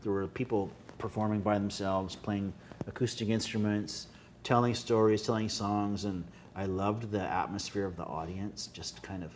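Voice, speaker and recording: A man speaks with a Winnipeg accent. His pitch is fairly low and his pace moderate. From Canada, Winnipeg. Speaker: singer-songwriter. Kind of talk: casual interview chat. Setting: restaurant.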